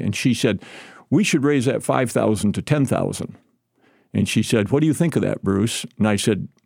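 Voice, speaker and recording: Lively in intonation, a man with an American accent has an unremarkable speaking voice. He talks at a fairly quick pace in a very clean recording with a silent background. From southern Michigan, US. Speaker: retired state senator. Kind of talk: interview. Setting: studio.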